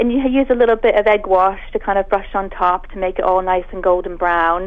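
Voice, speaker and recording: A woman uses a normal speaking voice at a moderate pace. Her pitch varies in an ordinary way. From US Northeast, Connecticut. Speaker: children's cooking teacher. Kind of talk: radio interview.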